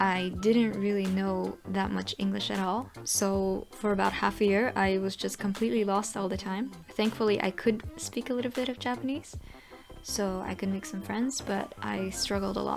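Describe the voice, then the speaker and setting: The speaker is a woman. She keeps a moderate pace while music plays in the background. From Belgium (Flanders) and Japan. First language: Dutch. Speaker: vlogger. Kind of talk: Q&A vlog.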